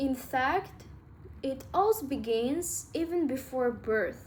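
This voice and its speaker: A woman speaks with a high pitch and lively intonation. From Russia. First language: Russian. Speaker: self-help vlogger. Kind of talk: casual talk to camera. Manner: halting, with filler words.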